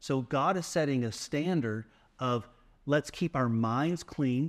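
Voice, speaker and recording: A man talks at a medium pitch with lively intonation in a plain, everyday voice. The sound is dry and close with no echo, and the recording is very clean, with a silent background. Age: 50s. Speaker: faith podcast co-host. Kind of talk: casual chat.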